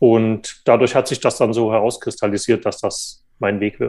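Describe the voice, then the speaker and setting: Moderate-paced male speech in a quiet background. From eastern Germany, Saxony. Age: 30s. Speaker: journalist, magazine editor. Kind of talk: interview. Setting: remote call. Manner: hesitant, many fillers.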